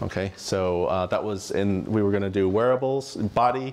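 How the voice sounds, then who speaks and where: Fairly low in pitch, a man speaks with an American accent and fairly even intonation. Light background noise sits behind him. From United States. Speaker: tech entrepreneur and company executive; conference presenter. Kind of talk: conference talk with audience Q&A. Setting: stage with audience. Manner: frequent fillers and self-restarts. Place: hall. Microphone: lapel.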